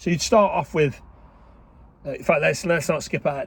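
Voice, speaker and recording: A man with an English accent talks loudly at a high pitch with ordinary pitch variation. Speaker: online business coach. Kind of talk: casual vlog talk. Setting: in a car. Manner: chatty, informal.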